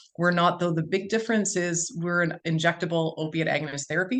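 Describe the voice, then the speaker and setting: This woman talks very fast with a Canadian accent. Her pitch is fairly low and her intonation fairly even. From Ontario, Canada. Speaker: physician. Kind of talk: webinar presentation. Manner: loud.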